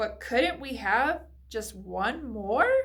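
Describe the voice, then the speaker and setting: A woman uses a put-on character voice. It sits at a high pitch. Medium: read story. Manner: dreamy, soft.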